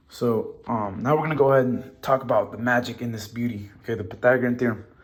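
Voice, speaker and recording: A man's fairly quick delivery, with audible room echo. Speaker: math teacher. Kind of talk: lecture. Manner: fast; animated.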